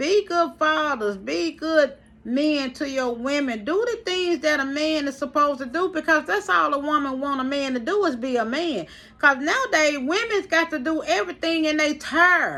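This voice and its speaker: At a moderate pace, a woman speaks in a raised, projected voice that is high in pitch, with an animated tone and lively intonation. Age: 50s. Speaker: vlogger. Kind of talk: live stream monologue.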